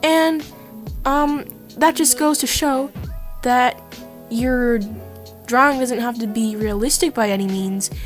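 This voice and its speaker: A woman's fairly slow speech with ordinary pitch variation and music in the background. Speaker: hobby artist. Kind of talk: casual talk to camera, art tips. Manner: casual, hesitant.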